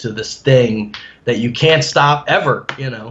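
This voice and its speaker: With an American accent, a man speaks in an unremarkable speaking voice at medium pitch, with ordinary pitch variation. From New Jersey. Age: 30s. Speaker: amateur bodybuilder. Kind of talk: interview.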